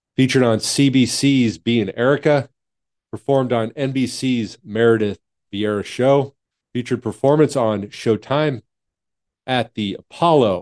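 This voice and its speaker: At a moderate pace, a man speaks in an ordinary speaking voice at medium pitch, his pitch varying in an ordinary way. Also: dry, close sound with no echo. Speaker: podcast and radio host. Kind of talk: interview intro and casual chat. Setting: video call.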